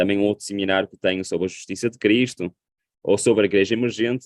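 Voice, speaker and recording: A man with a European Portuguese accent, in a dry, close sound with no echo. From Portugal. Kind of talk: sermon.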